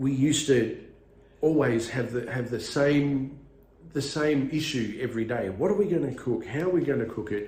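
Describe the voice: A man speaks at a moderate pace and medium pitch, with ordinary pitch variation and a slightly mellow tone. The room adds strong echo.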